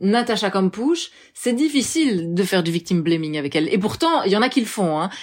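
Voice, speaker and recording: The pace is fairly quick, the pitch swings very widely, and the loudness stays very even throughout. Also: woman, medium pitch for a woman. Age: 30s. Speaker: journalist and filmmaker. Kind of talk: interview.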